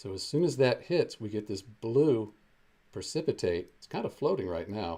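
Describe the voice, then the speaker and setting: A man with a dark, mellow, somewhat breathy tone and a fairly low pitch speaks at a moderate pace with very wide pitch swings. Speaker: chemistry teacher. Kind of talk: live-streamed chemistry demonstration. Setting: live stream with chat. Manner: casual, conversational.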